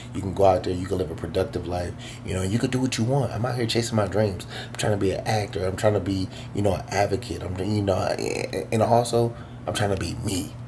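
Amid noticeable background noise, a man with a fairly low pitch talks very fast. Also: ordinary pitch variation. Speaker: vlogger. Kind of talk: casual vlog chat. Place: home room. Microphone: phone near.

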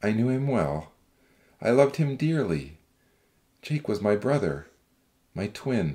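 A man puts on a character voice, fairly low-pitched and slow, with a dark, mellow tone, a slightly husky edge and big pitch swings.

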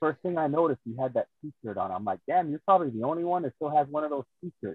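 Fairly quick, lively intonation from a man with a fairly high pitch, in a normal speaking voice. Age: 50s. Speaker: pro wrestler. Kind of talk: casual interview.

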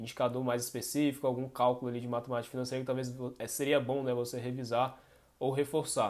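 A man talks at a fairly quick pace. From Brazil. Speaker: finance co-host. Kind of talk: educational Q&A podcast. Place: home room.

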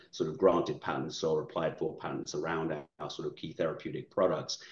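Against a quiet background, a man talks at a very fast pace with audible room echo. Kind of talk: interview answer. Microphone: video call.

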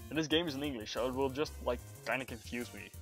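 A man's intonation is lively at a fairly quick pace. His pitch is medium, and music plays in the background. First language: Dutch. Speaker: streamer. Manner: casual, chatty.

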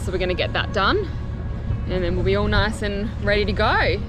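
Clear music plays in the background as a woman speaks at a moderate pace. Her sound is dry, with no echo. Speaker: sailing vlogger. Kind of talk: casual vlog chat. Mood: relaxed, content. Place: boat. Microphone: phone near.

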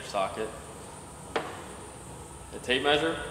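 Through audible room echo and noticeable background noise, a man talks at a very slow pace. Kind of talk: tutorial. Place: workshop.

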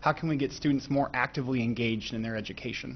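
A man with an American accent talks at a very fast pace. His intonation is fairly even, with light background noise behind him. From Sheboygan, Wisconsin; Wisconsin. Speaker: school board candidate, business analyst; candidate, business analyst. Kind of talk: candidate forum answers. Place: meeting room. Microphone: podium.

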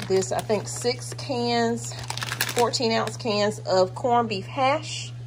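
Over clear background noise, a woman speaks at a slow pace.

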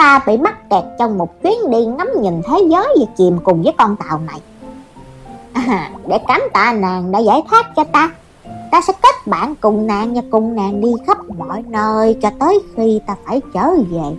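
A put-on character voice at fairly high pitch and moderate pace, with clear music in the background. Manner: chatty, grandiose.

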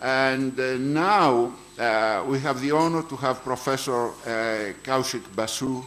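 A man talks with ordinary pitch variation. Light background noise can be heard. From Greece. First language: Greek. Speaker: conference chair. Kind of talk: speaker introduction; formal introduction and moderation. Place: hall. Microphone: podium.

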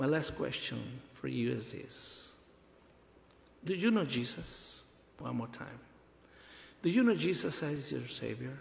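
Speaking at a fairly slow pace in a Spanish accent, a man leaves long, frequent pauses. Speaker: pastor. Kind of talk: bilingual sermon. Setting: church funeral service. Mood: earnest, consoling. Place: church. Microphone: podium.

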